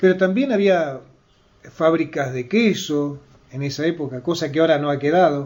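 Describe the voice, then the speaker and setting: In an ordinary speaking voice, a man talks at a moderate pace and fairly high pitch, with ordinary pitch variation. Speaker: journalist, radio interviewer. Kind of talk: radio interview questions.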